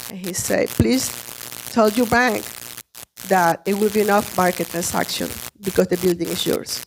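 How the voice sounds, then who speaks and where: A woman's voice sits at a medium pitch, moves at a moderate pace, shows ordinary pitch variation, and leaves long pauses often. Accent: Spanish. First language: Spanish. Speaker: small business owner, restaurant owner. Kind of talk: testimony.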